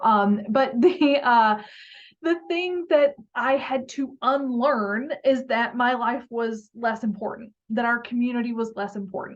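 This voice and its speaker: Speaking at a fairly slow pace with a slight Southern US accent, a woman has a high pitch and ordinary pitch variation against a quiet background. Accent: slight Southern twang. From US South, southern Arkansas. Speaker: youth advocacy panelist. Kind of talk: panel discussion. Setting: webinar video call.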